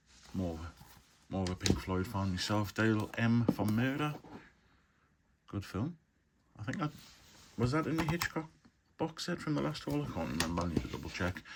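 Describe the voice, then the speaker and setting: In a Geordie accent, a man with a fairly low pitch talks at a moderate pace, his pitch swinging very widely, with long, frequent pauses. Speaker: film collector, video blogger. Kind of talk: casual haul video monologue. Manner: casual, hesitant with fillers.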